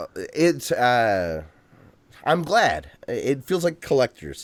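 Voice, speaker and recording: Very slowly, a man talks with an Ohio accent. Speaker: podcast co-host. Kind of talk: casual chat.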